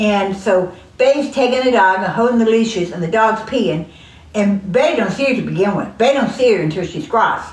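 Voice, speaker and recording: Fairly high-pitched and fairly quick, a woman with a Southern US accent talks with ordinary pitch variation amid audible room echo and noticeable background noise. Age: old. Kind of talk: casual chat.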